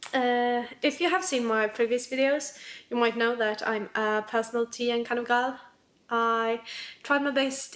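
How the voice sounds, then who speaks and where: A woman with a non-native accent talks at a fairly slow pace, using a fairly high pitch and fairly even intonation. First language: not English. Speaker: planner YouTuber. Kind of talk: casual vlog talk. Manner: hesitant, filler-heavy.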